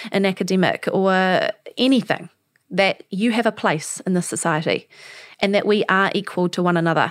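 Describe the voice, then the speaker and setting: Speaking with a New Zealand accent, a woman uses medium pitch and fairly even intonation. The recording is very clean and silent behind her, with dry, close sound and no echo. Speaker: podcast host, para swimmer. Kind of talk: interview conversation.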